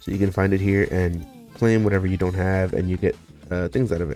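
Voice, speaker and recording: A relaxed man with a very deep, low pitch, fairly even intonation and a moderate pace, music in the background. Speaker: gaming video creator. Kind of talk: casual gameplay commentary. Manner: casual, relaxed.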